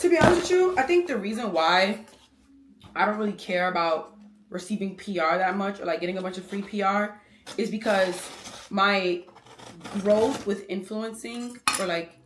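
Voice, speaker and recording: Long, frequent pauses break up a woman's moderate-paced speech. Noticeable background noise runs underneath. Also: medium pitch for a woman, ordinary pitch variation. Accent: American. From New York, Brooklyn. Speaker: lifestyle vlogger. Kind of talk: vlog talking to camera.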